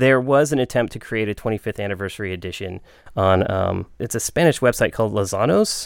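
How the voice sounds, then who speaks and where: The recording is very clean, with a silent background. A man talks at a medium pitch with ordinary pitch variation. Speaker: board game podcast co-host. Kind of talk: casual chat. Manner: halting, many fillers.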